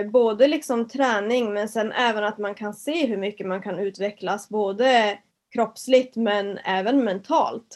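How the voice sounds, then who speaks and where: Her voice is an unremarkable speaking voice, fairly high in pitch, with ordinary pitch variation at a fairly slow pace. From northern Sweden, Kiruna area. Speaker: fitness entrepreneur and personal trainer. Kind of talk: casual interview.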